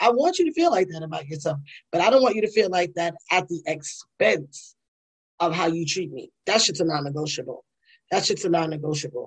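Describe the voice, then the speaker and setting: A woman speaks at a fairly quick pace with a fairly low pitch. Her voice is somewhat breathy, with ordinary pitch variation. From New York, the Bronx. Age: 40s. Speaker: podcast host and attorney. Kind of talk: solo casual commentary. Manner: animated, conversational.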